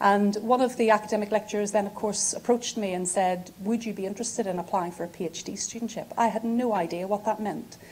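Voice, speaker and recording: A woman with a Northern Irish accent talks at a very fast pace with hardly any pauses. Her medium-pitched voice is somewhat breathy, and her intonation stays fairly even. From Northern Ireland, Belfast. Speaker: physiotherapy professor. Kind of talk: academic lecture.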